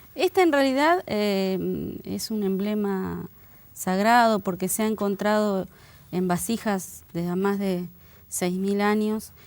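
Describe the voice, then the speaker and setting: A woman speaks at medium pitch with ordinary pitch variation. Her pace is very slow, and the recording is very clean with a silent background. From Bahía Blanca, Argentina. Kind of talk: interview.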